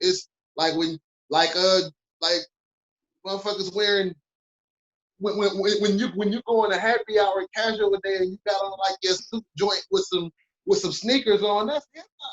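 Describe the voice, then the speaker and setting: A high-pitched man with a Detroit accent talks at a moderate pace with fairly even intonation and long, frequent pauses. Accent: Detroit east side, brash way of talking. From Detroit, east side. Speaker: podcast network founder. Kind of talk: casual podcast chat. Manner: brash.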